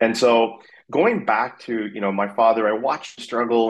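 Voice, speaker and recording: A man with a Canadian accent, an ordinary speaking voice and a medium pitch talks at a moderate pace. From Canada, Vancouver. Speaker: fintech company CEO. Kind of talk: interview.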